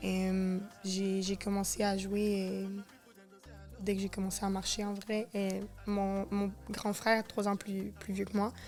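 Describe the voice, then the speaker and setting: With music in the background, a woman with a Quebec accent speaks at medium pitch, very slowly and in a monotone, flat way, taking long, frequent pauses. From Quebec, Saint-Eustache near Montreal. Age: 20s. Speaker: professional footballer. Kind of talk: interview.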